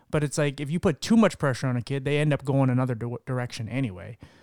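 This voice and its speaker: In a very clean recording with a silent background and a dry, close sound with no echo, a man speaks at medium pitch with ordinary pitch variation in a plain, everyday voice. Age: 30s. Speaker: podcast host. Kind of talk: casual chat.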